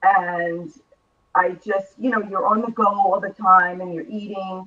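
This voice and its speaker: With an American accent and a plain, everyday voice, a woman speaks at a fairly slow pace in a medium pitch, her intonation fairly even but her loudness swinging widely. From New York. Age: 60s. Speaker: author, former radio host and reporter. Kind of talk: talk show interview.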